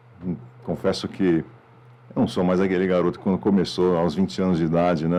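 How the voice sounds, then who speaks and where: This man has a very deep, low voice with a dark, mellow tone. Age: 50s. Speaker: media executive. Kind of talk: podcast interview. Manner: casual, frequent fillers.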